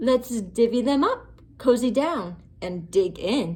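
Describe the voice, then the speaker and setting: A woman's put-on character voice, fairly high in pitch and fairly slow. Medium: read story.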